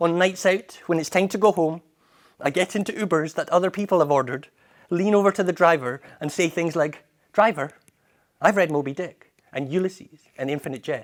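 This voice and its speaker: A man with a Scottish accent speaks at a fairly quick pace. His pitch is high, with ordinary variation. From Edinburgh, Scotland. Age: 30s. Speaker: poet and spoken word performer. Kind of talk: spoken word poetry performance.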